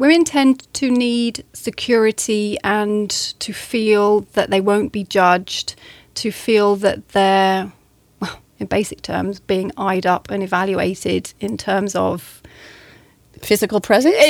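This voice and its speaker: In a very clean recording with a silent background, a woman with a southern English accent speaks at a very slow pace. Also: medium pitch for a woman, ordinary pitch variation. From southern England. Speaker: English teacher and coach. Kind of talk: interview.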